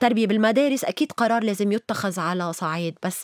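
A woman's voice with very wide pitch swings and a Lebanese accent, dry and close with no echo. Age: 50s. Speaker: writer and activist. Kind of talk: interview.

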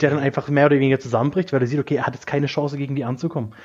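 This is a man speaking. His pitch is fairly high. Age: 20s. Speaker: film fan podcast guest. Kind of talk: casual chat.

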